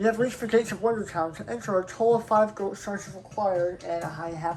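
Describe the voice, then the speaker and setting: Against noticeable background noise, a woman with a medium-pitched voice speaks fairly quickly, with ordinary pitch variation. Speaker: gaming YouTuber. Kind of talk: let's play commentary.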